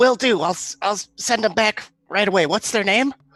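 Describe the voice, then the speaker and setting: This man's voice is high in pitch. He is doing a put-on character voice. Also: moderate pace. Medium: actual play. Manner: stammering, eager.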